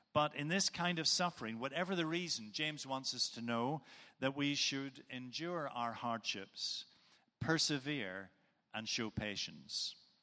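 A man with a Northern Irish accent speaks at a fairly slow pace, his fairly high-pitched voice bright and sharp in tone with lively intonation. The recording is very clean, with a silent background. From Northern Ireland.

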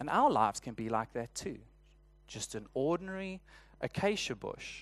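The background is quiet. A man speaks in a South African accent with lively intonation. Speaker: church elder and preacher. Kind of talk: sermon. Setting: church.

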